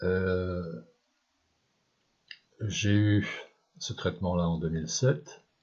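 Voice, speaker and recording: Very deep and low in pitch, a man speaks at a very slow pace with long, frequent pauses. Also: lively intonation. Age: 60s. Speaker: cancer patient sharing experience. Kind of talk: personal testimony. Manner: hesitant, with many fillers.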